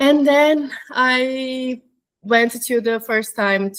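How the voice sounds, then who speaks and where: In a Portuguese accent, a woman speaks with a high pitch. Her pitch variation is ordinary. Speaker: flight attendant. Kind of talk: interview. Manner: halting.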